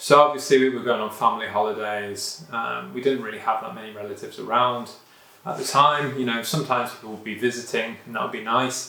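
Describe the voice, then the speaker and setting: Over noticeable background noise and audible room echo, a man with a British accent talks at a fairly quick pace in fairly even intonation. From UK. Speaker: vlogger. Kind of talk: personal vlog monologue. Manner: casual, many fillers.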